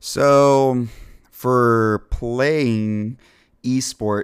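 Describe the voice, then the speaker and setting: A man with an American accent has an ordinary speaking voice at a medium pitch with ordinary pitch variation. The sound is dry and close with no echo. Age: 30s. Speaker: company representative. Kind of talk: casual chat.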